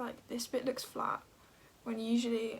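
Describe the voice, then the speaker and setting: In a British accent, a woman speaks at a moderate pace with a high pitch. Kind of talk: makeup tutorial chat. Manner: soft-spoken, usually speaks quietly.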